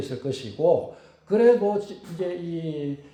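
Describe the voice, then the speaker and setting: Noticeable background noise and audible room echo surround the recording. A man speaks at a fairly high pitch that swings very widely. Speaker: pastor. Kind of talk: sermon. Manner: halting, many fillers.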